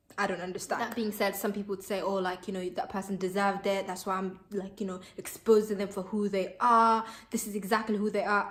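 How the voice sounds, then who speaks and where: A speaker with a Somali accent talks at a fairly quick pace with hardly any pauses. Noticeable background noise is present. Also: woman, medium pitch for a woman. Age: 20s. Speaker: vlogger. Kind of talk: casual opinion vlog. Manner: animated.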